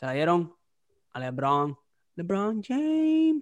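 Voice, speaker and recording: A man talks with a Puerto Rican accent. The recording is very clean, with a silent background. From Puerto Rico. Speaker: podcast host. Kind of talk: casual chat. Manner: animated.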